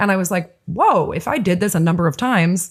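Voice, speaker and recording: A woman with a somewhat breathy voice is heard in a very clean recording with a silent background. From Nova Scotia, Canada. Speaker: filmmaker and actress. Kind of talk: interview. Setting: podcast.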